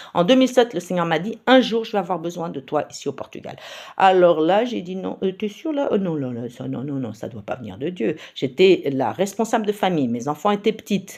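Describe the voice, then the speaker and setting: Over a very clean recording with a silent background, a woman talks at a fairly low pitch with vocal fry, at a fairly quick pace with hardly any pauses. Her pitch swings very widely and her loudness shifts a lot. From Paris region, France. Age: 60s. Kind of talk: personal testimony. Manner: hesitant, many fillers.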